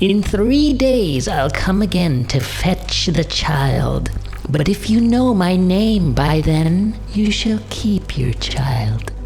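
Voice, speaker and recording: A man's put-on character voice at a very slow pace, with clear music in the background. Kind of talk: bedtime story. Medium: read story. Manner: screeching.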